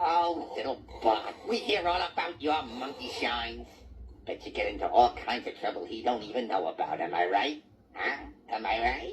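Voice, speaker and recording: This is a man doing a cartoonish character voice at a fairly high pitch. He keeps a moderate pace. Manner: gruff, coarse.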